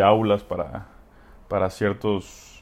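A man with a fairly low pitch. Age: 20s. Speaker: podcast host, engineering student. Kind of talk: solo monologue podcast. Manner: halting, many fillers.

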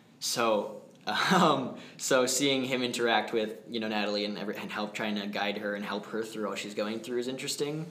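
A man of medium pitch speaks amid audible room echo and noticeable background noise. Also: ordinary pitch variation, fairly quick pace. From New Hampshire, US. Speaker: community theatre actor. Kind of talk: interview.

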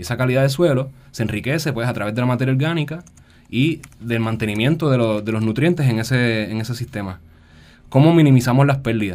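Very fast male speech, medium in pitch and ordinary in its pitch variation. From Puerto Rico, San Juan. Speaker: agroecologist. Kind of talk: radio interview.

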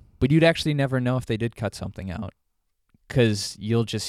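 A man with an American accent at a very fast pace, with ordinary pitch variation. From Joliet, Illinois. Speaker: podcast co-host. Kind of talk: casual chat. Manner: quiet.

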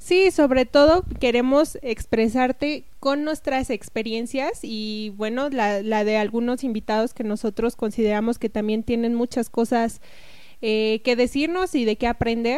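Speaking at a fairly slow pace, a woman has an unremarkable speaking voice with a fairly high pitch and ordinary pitch variation. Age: 20s. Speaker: podcast co-host. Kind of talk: casual podcast introduction.

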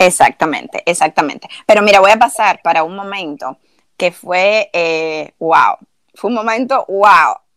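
This is a plain, everyday voice with ordinary pitch variation at a fairly slow pace. The sound is dry and close, with no echo. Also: woman, medium pitch for a woman. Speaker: podcast co-host. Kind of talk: casual chat.

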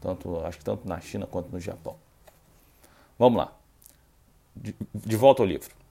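The tone is dark and mellow, with vocal fry and ordinary pitch variation at a moderate pace. Loudness swings widely, and long pauses come often. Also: man, fairly low pitch for a man. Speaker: Buddhism practitioner and podcaster. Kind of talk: casual explanatory talk with reading aloud from a book. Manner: somewhat serious, not very relaxed.

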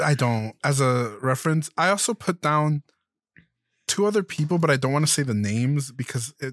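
Recorded very cleanly with a silent background and a dry, close sound with no echo, a man in a normal speaking voice talks at medium pitch and a fairly quick pace with ordinary pitch variation. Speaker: podcast co-host. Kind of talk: casual chat.

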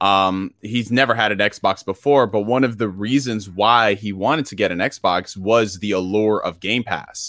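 Over a silent background in a very clean recording, a man speaks at a moderate pace with fairly low pitch and hardly any pauses. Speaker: gaming YouTuber. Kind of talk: casual chat. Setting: live stream. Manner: energetic.

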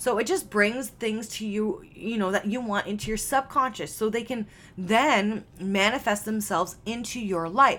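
A woman with a Canadian accent speaks at a moderate pace in a fairly high, bright, sharp tone with ordinary pitch variation, on a very clean recording with a silent background. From Canada. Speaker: mindset and success coach, podcast host. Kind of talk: solo podcast monologue. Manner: casual, filler-heavy.

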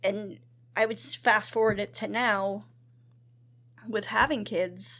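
Recorded very cleanly over a silent background, a woman with an American accent speaks at a very slow pace in a bright, sharp tone with vocal fry, medium pitch and ordinary pitch variation. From US, central Pennsylvania. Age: 40s. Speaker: churchgoer sharing testimony. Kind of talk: casual testimony interview.

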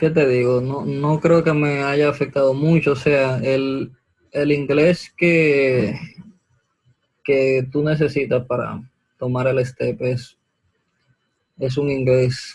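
Speaking very slowly with long, frequent pauses, a man uses a fairly high, somewhat breathy voice in a flat monotone. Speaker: medical student. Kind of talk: interview.

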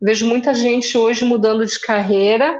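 Here a woman speaks with a Rio Grande do Sul accent at a fairly high pitch. Her pace is moderate and her intonation fairly even. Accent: southern Brazilian (gaúcho) accent noticeable. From Rio Grande do Sul, Caxias do Sul. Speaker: journalist, social media strategist. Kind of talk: interview.

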